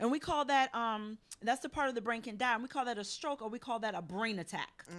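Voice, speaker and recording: Animated in tone, a woman speaks at a very fast pace in a fairly high pitch with ordinary pitch variation. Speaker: health coach. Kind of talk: health talk show segment.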